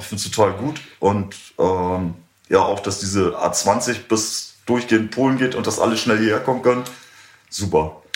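A man speaks at a moderate pace in a fairly low pitch, with ordinary pitch variation and audible room echo. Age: 60s. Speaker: music club owner. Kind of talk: interview. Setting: in a bar.

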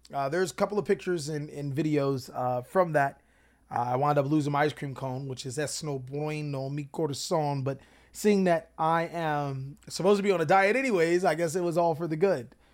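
Using an ordinary speaking voice, a man with an American accent talks at a fairly quick pace in a fairly high pitch with ordinary pitch variation, on a very clean recording with a silent background. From Long Beach, California. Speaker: podcast host and card game content creator. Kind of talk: casual monologue.

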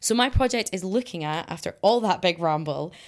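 The woman's voice sits fairly low in pitch, with ordinary variation and a fairly quick pace. The recording is very clean, with a silent background. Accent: Scottish. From Scotland. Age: 20s. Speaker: climate activist and environmental scientist. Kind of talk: interview.

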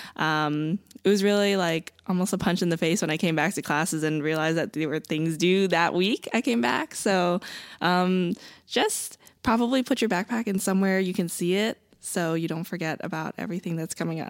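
In a very clean recording with a silent background, a woman with an ordinary speaking voice talks at a fairly low pitch and moderate pace, using ordinary pitch variation. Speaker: college student. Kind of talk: casual chat.

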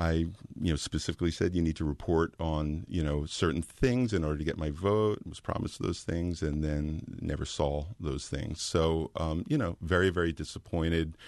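An American accent at a moderate pace, with hardly any pauses. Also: man, very deep, low pitch for a man, ordinary pitch variation. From Philadelphia suburbs, US. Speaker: local political candidate. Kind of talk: political interview. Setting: studio. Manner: hesitant, many fillers.

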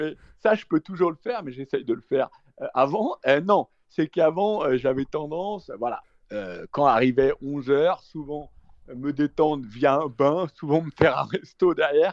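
The sound is dry and close with no echo as a man with an unremarkable speaking voice talks at a fairly slow pace. His pitch is fairly high, with ordinary pitch variation. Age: 40s. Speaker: trader and investor. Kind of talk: casual interview.

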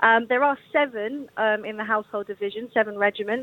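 Here a woman talks with a London accent at a moderate pace. The sound is dry and close, with no echo. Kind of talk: radio interview.

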